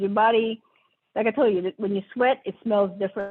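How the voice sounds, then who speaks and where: Music plays in the background. A woman with a medium pitch talks at a fairly quick pace. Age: 50s. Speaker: podcast host. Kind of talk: casual chat. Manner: animated.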